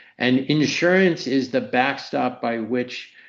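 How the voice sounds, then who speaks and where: With audible room echo, a man in an American accent speaks at a medium pitch with ordinary pitch variation. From US Mid-Atlantic (Maryland). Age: 60s. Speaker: insurance executive. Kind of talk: lecture.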